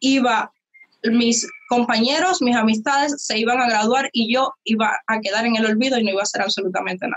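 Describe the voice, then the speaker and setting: A woman's fairly high voice in a Cuban accent, fairly quick pace, ordinary pitch variation, and very even loudness. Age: young. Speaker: youtuber. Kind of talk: interview.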